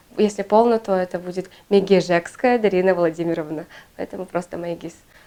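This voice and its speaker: At a moderate pace, a woman is speaking. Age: 20s. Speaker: municipal employee and dancer. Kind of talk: documentary interview.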